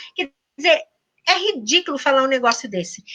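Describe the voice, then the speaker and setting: In a raised, projected voice, a woman speaks with a high pitch and a bright, sharp tone. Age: 60s. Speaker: university professor. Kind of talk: interview. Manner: animated.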